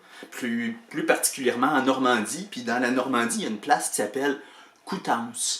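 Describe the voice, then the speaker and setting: Noticeable background noise sits behind a man with a Quebec accent who talks at a moderate pace, with medium pitch and ordinary pitch variation. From Quebec, Canada. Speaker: writer and storyteller. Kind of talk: casual anecdote told to camera.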